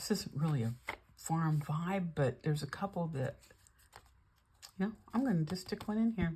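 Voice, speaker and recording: With an American accent, a woman speaks at a moderate pace in a fairly low pitch, her dark, mellow, somewhat breathy tone moving through very wide pitch swings. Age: 70s. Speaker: junk journal crafter, YouTuber. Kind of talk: casual craft flip-through chat. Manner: chatty, conversational.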